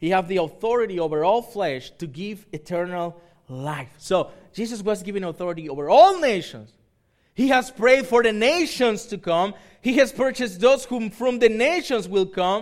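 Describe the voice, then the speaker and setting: Speaking at a moderate pace in a high pitch, a man with a Spanish accent uses lively intonation on a very clean recording with a silent background. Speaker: pastor. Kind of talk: sermon. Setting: church. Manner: halting.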